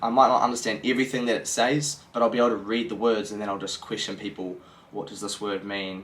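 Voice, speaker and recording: A man with a New Zealand accent at a fairly quick pace, his intonation fairly even. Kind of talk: casual talk to camera.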